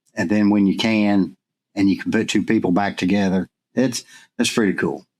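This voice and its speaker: With an American accent, a man talks at a moderate pace in a fairly low pitch, his intonation fairly even and his loudness very even. The recording is very clean, with a silent background. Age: 60s. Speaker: private investigator. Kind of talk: interview. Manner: halting.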